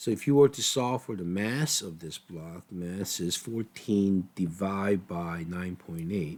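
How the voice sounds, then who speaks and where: A man speaks at a fairly slow pace with a very deep, low pitch. His pitch varies in an ordinary way, and the recording is very clean with a silent background. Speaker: physics teacher. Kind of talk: tutorial. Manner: casual, conversational.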